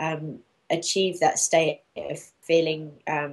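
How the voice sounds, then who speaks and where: A woman speaks with a London accent. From London, England. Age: 40s. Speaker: raw food author and coach. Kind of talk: interview.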